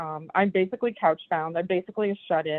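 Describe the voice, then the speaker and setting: Her medium-pitched voice moves at a moderate pace with ordinary pitch variation as this woman speaks. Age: 60s. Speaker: brain injury survivor. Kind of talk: panel discussion. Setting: phone call. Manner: halting. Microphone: phone line instead of Zoom.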